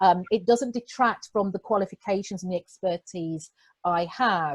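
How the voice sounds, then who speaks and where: A woman with a British accent talks at a moderate pace. The sound is dry and close, with no echo. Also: medium pitch for a woman, ordinary pitch variation. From England. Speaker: executive coach. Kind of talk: interview.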